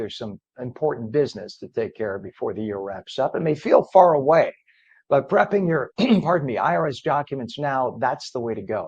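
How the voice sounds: A man puts on a croaky, hoarse character voice at a medium pitch, talking at a fairly quick pace.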